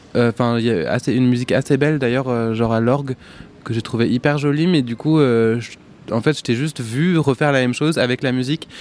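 A male speaker with ordinary pitch variation, talking at a moderate pace. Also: medium pitch for a man. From northern France, rural Picardy. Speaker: singer-songwriter. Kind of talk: casual interview. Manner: hesitant, many fillers.

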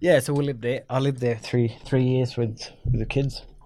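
A man speaks in a dark, mellow tone, somewhat breathy, with fairly even intonation. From Northeast Arnhem Land, Australia (Yolngu community). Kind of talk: interview. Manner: hesitant, many fillers.

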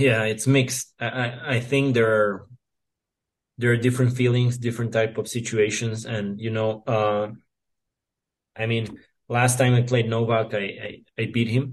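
A man with a Serbian accent at a medium pitch, somewhat breathy, at a fairly slow pace with long, frequent pauses and monotone, flat intonation. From Serbia, near Novi Sad. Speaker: professional tennis player. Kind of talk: interview. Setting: remote call. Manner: hesitant, many fillers.

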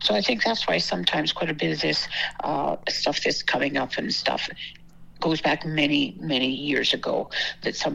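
A woman keeps a moderate pace while noticeable background noise carries on around her. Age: 80s+. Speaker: host's grandmother. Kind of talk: casual chat.

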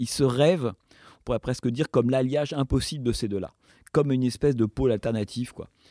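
A man speaks at a fairly quick pace in a medium pitch, with a dark, mellow tone and ordinary pitch variation, recorded dry and close with no echo in a very clean recording with a silent background. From France. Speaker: film director and former critic. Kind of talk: interview. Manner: halting.

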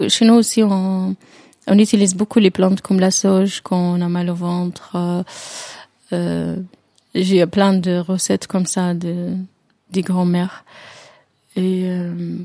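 A woman with an Arabic accent speaks at medium pitch in a dark, mellow tone and a monotone, flat intonation. Her delivery has long, frequent pauses. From Jordan. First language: Arabic (speaking French). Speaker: tea salon owner, former tour guide. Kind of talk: interview. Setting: drinking tea together. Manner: halting, many hesitations.

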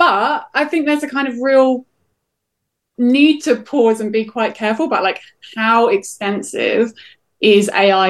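A woman speaks in a normal speaking voice. She keeps a moderate pace with ordinary pitch variation. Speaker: professor of digital politics. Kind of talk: expert interview.

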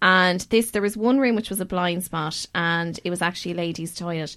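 With an Irish accent, a woman speaks in a bright, sharp tone with ordinary pitch variation on a very clean recording with a silent background. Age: 30s. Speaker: podcast host. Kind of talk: casual chat; scripted narration.

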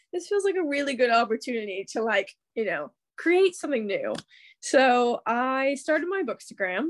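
With a Midwestern accent, a woman speaks at a high pitch and a moderate pace, her voice making very wide pitch swings in a dry, close recording with no echo. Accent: American, Midwestern. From Kansas City, US Midwest. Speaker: bookstagrammer guest. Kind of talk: casual chat, interview. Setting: remote recording, Sunday night, London.

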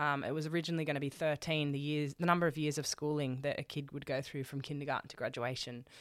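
A woman with an Australian accent speaks at a very deep, low pitch, monotone and flat, at a very fast pace. The recording is very clean, with a silent background. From Australia, Sydney. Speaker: charity founder and speaker. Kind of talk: interview, personal story.

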